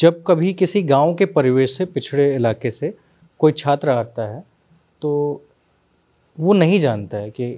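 A man speaks very slowly in a fairly high, dark, mellow voice, leaving long, frequent pauses against a quiet background. His intonation is lively and his loudness swings a lot. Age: 20s. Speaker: interviewer. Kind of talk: interview. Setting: on location. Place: office. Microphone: handheld.

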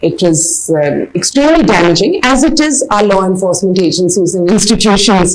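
A woman at a moderate pace with lively intonation. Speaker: interviewee. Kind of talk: interview answer. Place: home room.

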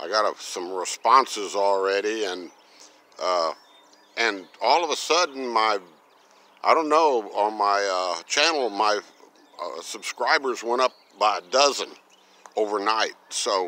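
A man's bright, sharp tone at a fairly slow pace with long, frequent pauses, in a dry sound with no echo. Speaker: vlogger. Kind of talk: casual vlog chat. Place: garden. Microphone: phone near.

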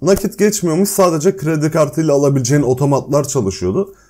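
Fairly high in pitch, a man speaks at a fairly quick pace. His tone is dark and mellow. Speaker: YouTuber. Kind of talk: casual chat. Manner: speaking while eating.

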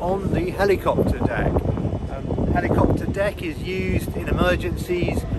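Loud background noise runs under a man's voice. The sound is dry, with no echo. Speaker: travel vlogger. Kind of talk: casual vlog chat. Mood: cheerful, relaxed. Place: boat. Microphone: phone near.

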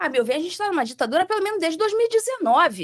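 With a Rio de Janeiro accent, a woman speaks with very wide pitch swings over a quiet background. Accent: carioca. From Rio de Janeiro, Brazil. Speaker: former judge. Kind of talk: interview. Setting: studio. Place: studio. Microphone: studio mic.

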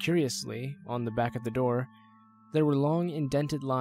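This is plain reading aloud. The voice reads the text plainly.

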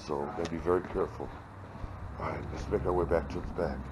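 With noticeable noise behind him, a man whose pitch sits very deep and low talks fairly quickly. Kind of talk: casual vlog chat. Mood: nostalgic. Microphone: phone near.

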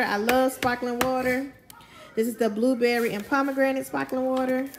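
A woman speaks with clear music in the background. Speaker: family vlogger. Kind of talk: casual vlog chat. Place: kitchen. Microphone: phone near.

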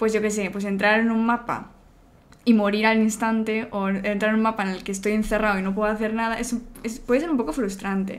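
At a fairly quick pace, a woman talks in a monotone, flat intonation at a fairly high pitch. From Spain, Barcelona; Catalonia, Spain. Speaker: video game community manager; interviewee. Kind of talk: interview. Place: home room.

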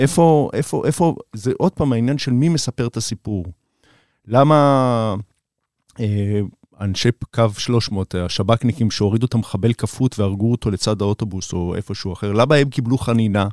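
A man's plain, everyday voice, medium in pitch with ordinary pitch variation and a moderate pace, in a dry, close sound with no echo. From Israel, Beersheba. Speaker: documentary director. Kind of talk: interview. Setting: studio.

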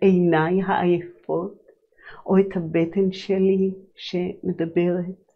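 Against a quiet background, a woman at medium pitch speaks at a very slow pace in a monotone, flat intonation. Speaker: holistic psychologist and sound healer hosting a show; sound healer hosting a show. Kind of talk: reflective monologue on personal growth. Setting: live broadcast. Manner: calm, flowing, spiritual. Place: studio.

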